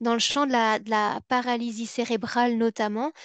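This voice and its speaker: Speaking at a fairly slow pace, a woman uses a fairly high pitch and a Belgian accent. The sound is dry with no echo, over a quiet background. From Belgium. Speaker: psychology and education researcher, former special educator; former special educator. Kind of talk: webinar lecture. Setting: online webinar. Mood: engaged, slightly playful. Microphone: webcam.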